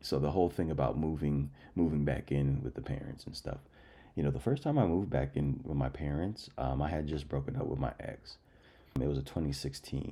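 A man talks at a moderate pace in a very deep, low voice with vocal fry. The tone is dark and mellow. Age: 30s. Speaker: podcast host. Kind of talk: casual monologue.

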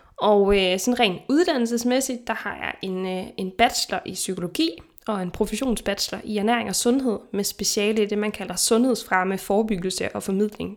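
A normal speaking voice at a moderate pace, with ordinary pitch variation, big swings in loudness and hardly any pauses. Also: woman. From Denmark. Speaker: podcast host, nutritionist. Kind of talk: casual chat. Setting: remote recording.

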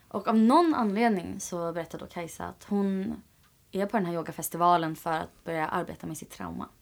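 A woman with an unremarkable speaking voice, fairly low in pitch, talks at a fairly quick pace with ordinary pitch variation and big swings in loudness. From Sweden, Åkersberga. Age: 20s. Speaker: yoga teacher and project founder. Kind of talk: interview.

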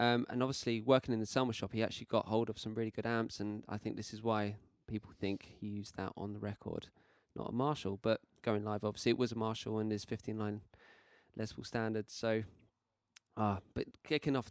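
A man with a British accent, fairly low in pitch, at a fairly quick pace with monotone, flat intonation, in a dry, close sound with no echo and a very clean recording over a silent background. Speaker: podcast co-host, guitarist. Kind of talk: casual chat.

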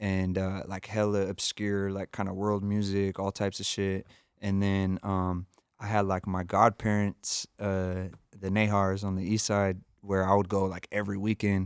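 Delivered at a moderate pace with an American accent, the speech is monotone and flat, heard dry and close with no echo in a very clean recording over a silent background. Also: man, fairly low pitch for a man. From San Jose, California. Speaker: rapper and teacher. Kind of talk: casual interview chat.

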